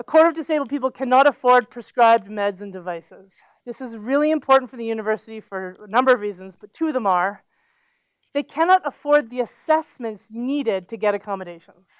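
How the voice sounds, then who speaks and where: Over a silent background on a very clean recording with a dry, close sound with no echo, a woman with a Canadian accent talks at a fairly quick pace and a high pitch, with lively intonation and big swings in loudness. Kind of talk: lecture. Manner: fast; animated.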